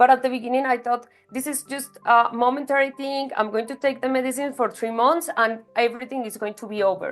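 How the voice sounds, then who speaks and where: Pitched high, a woman talks at a fairly quick pace with hardly any pauses, fairly even intonation and big swings in loudness. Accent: Spanish. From Colombia. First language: Spanish. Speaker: patient sharing story. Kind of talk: interview, testimony. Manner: halting, with fillers.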